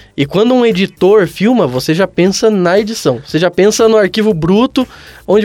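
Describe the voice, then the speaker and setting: Over background music, a man speaks at a high pitch with lively intonation. The sound is dry and close, with no echo. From Brazil, São José. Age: 20s. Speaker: comedian. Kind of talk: casual chat.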